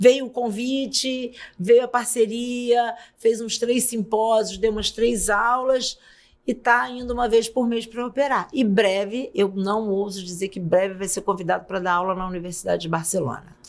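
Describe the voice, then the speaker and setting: A woman's normal speaking voice, fairly high in pitch, fairly slow, with ordinary pitch variation. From Brazil, São Gonçalo (Rio de Janeiro state). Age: 60s. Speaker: pediatrician and auditor. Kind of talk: podcast interview.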